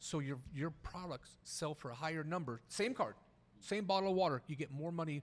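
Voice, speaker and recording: Animated in tone, a man talks with ordinary pitch variation. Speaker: podcast co-host and card reseller. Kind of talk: casual chat. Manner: fast.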